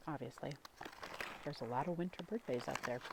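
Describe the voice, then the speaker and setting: Quiet and very deep, a woman's low voice shows ordinary pitch variation. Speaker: ASMR creator, parent. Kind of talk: ASMR ramble while eating a snack. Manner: soft-spoken, quiet, slow.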